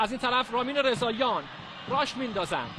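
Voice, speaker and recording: A man speaks in a raised, projected voice. There is noticeable background noise behind him. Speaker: football commentator. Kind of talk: live commentary.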